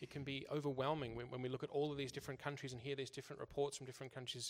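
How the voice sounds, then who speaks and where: Speech delivered at a very fast pace with a flat, monotone intonation. There is vocal fry, with an Australian accent. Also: man. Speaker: church interpreter. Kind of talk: consecutive interpreting of a talk. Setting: church service. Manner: halting, with repetitions.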